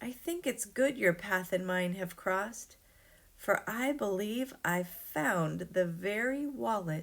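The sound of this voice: The reading voice is unforced. Its intonation is lively.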